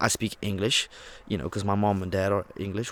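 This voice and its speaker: A fairly low-pitched man with a Dutch accent at a fairly quick pace. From Netherlands, Rotterdam. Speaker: vlogger. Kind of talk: casual monologue. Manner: casual, conversational.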